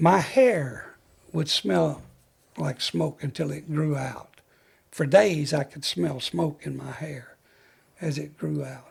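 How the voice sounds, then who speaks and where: Speaking very slowly with a Southern US accent, a man leaves long, frequent pauses and makes big swings in loudness. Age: 80s+. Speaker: retired fire chief. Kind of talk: interview storytelling. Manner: halting.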